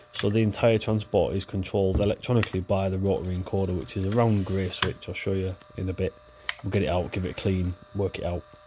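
The speech moves at a very fast pace. Background noise is noticeable throughout. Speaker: electronics repair hobbyist video maker. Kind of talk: tutorial. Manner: casual, conversational, with filler words.

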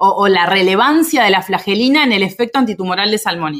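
A woman at a medium pitch lets her voice make very wide pitch swings. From Uruguay, Minas (Lavalleja). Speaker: immunology researcher. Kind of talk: casual interview conversation.

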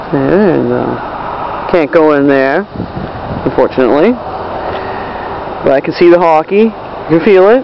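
In a dry sound with no echo and noticeable background noise, a man with a fairly high pitch speaks at a moderate pace, with long, frequent pauses. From Maine, USA. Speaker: traveler filming a road trip. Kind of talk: casual travel vlog narration. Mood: relaxed, enthusiastic. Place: street. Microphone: phone near.

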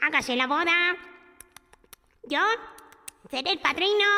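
Using a put-on character voice, a woman speaks at a moderate pace with an extremely high pitch. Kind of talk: narrated children's story with character voices. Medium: read story. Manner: eager, declaiming. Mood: shouting, eager.

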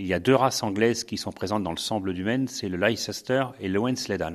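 A man with a normal speaking voice talks at a fairly quick pace, fairly low in pitch with fairly even intonation. The recording is very clean, with a silent background. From France, Sarthe. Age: 60s. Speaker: retired sheep farmer. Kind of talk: interview. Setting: on a farm.

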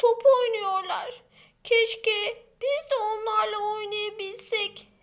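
A text read aloud in a natural voice

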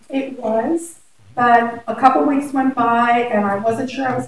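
A woman at a high pitch and moderate pace, fairly even in intonation, with audible room echo. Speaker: teacher. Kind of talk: interview. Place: meeting room. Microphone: camera far.

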